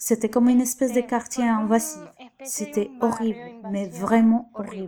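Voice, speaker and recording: A fairly high-pitched woman's voice with a Spanish accent and monotone, flat intonation. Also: moderate pace. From Venezuela. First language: Spanish (speaking French). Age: 20s. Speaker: beautician and migrant. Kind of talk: testimony.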